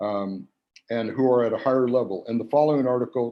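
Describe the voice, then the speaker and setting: Talking at a very fast pace, a man keeps his medium-pitched voice in fairly even intonation. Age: 70s. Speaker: panel speaker at memorial gathering. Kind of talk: memorial tribute on video call.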